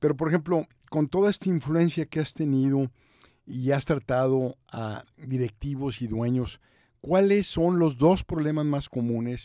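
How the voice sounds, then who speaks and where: Over a quiet background, a man talks at a fairly slow pace in a dark, mellow tone, the sound dry with no echo. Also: ordinary pitch variation. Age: 60s. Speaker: podcast host and business consultant; podcast host. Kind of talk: interview. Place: studio. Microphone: studio mic.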